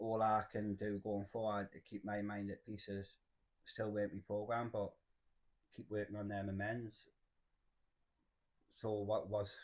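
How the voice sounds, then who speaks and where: With a Geordie accent, a man speaks at a fairly slow pace in a fairly low, monotone, flat voice, leaving long, frequent pauses. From northern England, Cramlington near Newcastle. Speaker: person in addiction recovery. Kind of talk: testimony.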